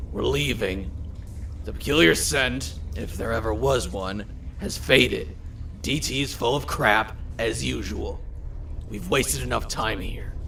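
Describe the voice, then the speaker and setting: Using a put-on character voice with a very deep, low pitch, a man speaks at a fairly slow pace. Long, frequent pauses break up his speech, and clear background noise is audible. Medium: audio drama. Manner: calm, condescending, controlled.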